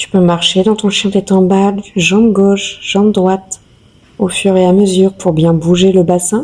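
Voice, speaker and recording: A soft-spoken woman talks in a calm tone at a fairly slow pace. Her intonation stays monotone and flat. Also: medium pitch for a woman. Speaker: yoga teacher. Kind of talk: guided yoga session instruction. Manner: soft, calm.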